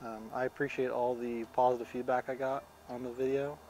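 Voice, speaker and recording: With music in the background, a medium-pitched man speaks in a flat monotone. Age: 30s. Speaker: vlogger. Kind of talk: casual chat. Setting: outdoors. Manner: halting.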